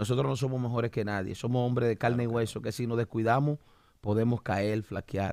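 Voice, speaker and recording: Over a quiet background, a man with a medium-pitched voice talks at a fairly quick pace, with ordinary pitch variation and a dry sound with no echo. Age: 40s. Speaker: pastor and podcast host; pastor, podcast host. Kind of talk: religious podcast discussion. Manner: animated. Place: studio. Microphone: studio mic.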